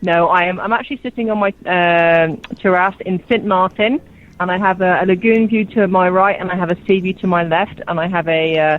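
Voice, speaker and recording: Her intonation stays mostly level without much movement. The woman has an English accent. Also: medium pitch for a woman. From southern England, Oxford. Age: 40s. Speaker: radio host calling in. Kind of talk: casual radio chat. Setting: phone call from outdoor terrace.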